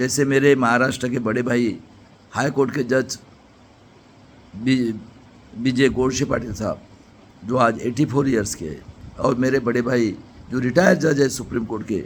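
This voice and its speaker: This man's voice sits at a medium pitch, broken by long, frequent pauses. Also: ordinary pitch variation. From Maharashtra, India (near Nagpur). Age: 60s. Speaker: retired engineer and political activist. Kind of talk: political speech. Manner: impassioned.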